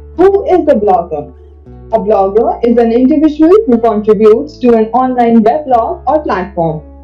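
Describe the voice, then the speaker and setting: A woman's high-pitched voice at a moderate pace, over faint background music. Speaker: presenter. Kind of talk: scripted educational presentation. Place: home room. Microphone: webcam.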